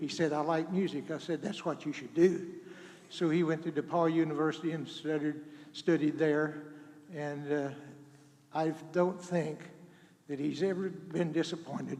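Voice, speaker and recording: In an American accent, a man with a fairly high voice talks at a moderate pace, pausing long and often. His intonation is flat and monotone, and the room echo is audible. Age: 80s+. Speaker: retired school superintendent, performer's father. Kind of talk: personal speech to audience. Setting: church with audience, microphone. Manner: halting.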